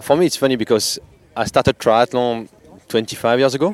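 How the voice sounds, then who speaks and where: In a French accent, a man at a medium pitch talks at a fairly quick pace with ordinary pitch variation, in a dry, close sound with no echo and noticeable background noise. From France. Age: 40s. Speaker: age-group triathlete. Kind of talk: interview.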